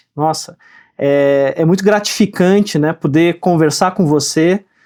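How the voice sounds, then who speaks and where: With a dry, close sound and no echo, a man talks at a fairly slow pace in a high voice with ordinary pitch variation. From Rio Grande do Sul, Brazil. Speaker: podcast host. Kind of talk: podcast interview.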